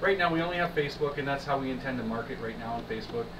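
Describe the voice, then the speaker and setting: Speaking with fairly even intonation, a man with a southern Ontario accent is heard over noticeable background noise. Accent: Canadian (southern Ontario). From Windsor, Ontario, Canada; Ontario, Canada. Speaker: musician, band leader; interviewee. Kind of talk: interview. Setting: studio. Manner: halting. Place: stage. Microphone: camera far.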